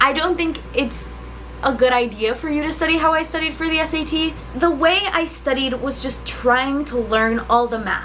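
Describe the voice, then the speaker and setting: A woman with a Spanish accent, lively intonation and a moderate pace, against noticeable background noise. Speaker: student vlogger. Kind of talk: casual vlog talk. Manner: casual, filler-heavy.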